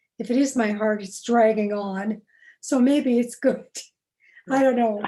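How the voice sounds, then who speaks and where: A woman's fairly high, dark, mellow voice at a fairly slow pace with fairly even intonation. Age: old. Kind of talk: interview. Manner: paced, pausing for breath.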